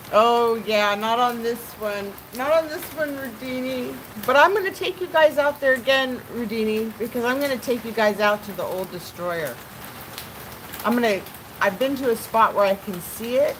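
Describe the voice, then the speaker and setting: A woman's fairly high voice with lively intonation at a moderate pace, over noticeable background noise. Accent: American. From California. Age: 50s. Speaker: live streamer. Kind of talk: casual live stream chat. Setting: at home by open door, pellet stove.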